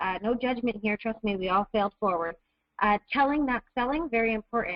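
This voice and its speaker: This woman's pitch is fairly high. She talks at a fairly quick pace. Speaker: network marketing distributor. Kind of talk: webinar presentation. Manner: fast; animated.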